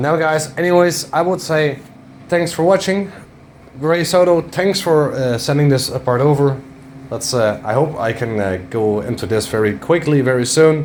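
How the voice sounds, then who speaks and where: Noticeable background noise runs under a man's fairly high voice. He talks at a moderate pace with lively intonation. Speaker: car tuning YouTuber. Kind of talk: casual vlog talk to camera. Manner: halting, stuttering over words.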